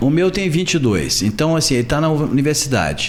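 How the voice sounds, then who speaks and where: A man with a fairly high pitch talks at a very fast pace with lively intonation, noticeable background noise behind him. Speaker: journalist, videocast host. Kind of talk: interview question, casual talk.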